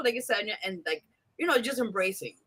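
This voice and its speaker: Someone with a New York accent talks at a very fast pace in an animated tone. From US East Coast, New York. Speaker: radio host. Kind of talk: interview.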